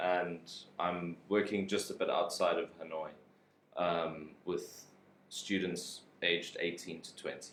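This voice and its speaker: With audible room echo around him, a man speaks at a fairly slow pace, leaving long, frequent pauses. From South Africa. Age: young. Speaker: English teacher. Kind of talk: casual interview. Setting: live stream.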